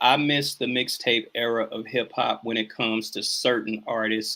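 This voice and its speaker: With a strong Southern US accent, a man speaks fairly slowly at a medium pitch, his tone bright and sharp, with ordinary pitch variation, in a very clean recording with a silent background. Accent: heavy Southern country twang. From US Midwest. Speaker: hip hop artist. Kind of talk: interview. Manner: slow speech.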